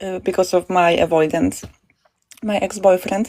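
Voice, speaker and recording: This woman has a dark, mellow tone, a medium pitch, ordinary pitch variation, and a non-native accent. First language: not English. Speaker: caller seeking advice. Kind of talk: live call-in question. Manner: halting, hesitant.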